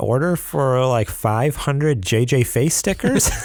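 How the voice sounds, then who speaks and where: Lively intonation with a slight New York accent. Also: man. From New York, US. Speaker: podcast host. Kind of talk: casual chat. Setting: studio.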